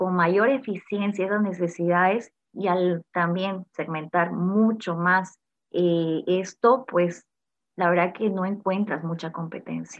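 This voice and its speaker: A woman is speaking. She goes at a very slow pace. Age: 30s. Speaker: entrepreneur and industrial engineer. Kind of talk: interview.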